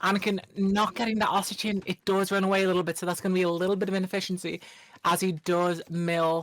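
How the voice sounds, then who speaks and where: With an Irish accent, a woman speaks at a fairly low pitch in a monotone, flat intonation. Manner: fast.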